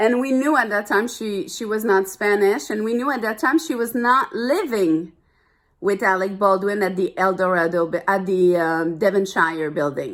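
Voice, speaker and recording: A woman's medium-pitched voice in a French accent, lively intonation and moderate pace, on a very clean recording with a silent background. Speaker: vlogger. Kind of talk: personal rant to camera. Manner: animated.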